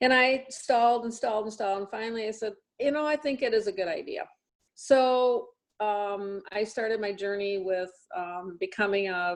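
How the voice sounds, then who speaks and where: Fairly high in pitch with ordinary variation, a woman speaks at a moderate pace. Hers is a plain, everyday voice. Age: 60s. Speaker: hearing care practitioner and product distributor. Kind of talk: personal testimony.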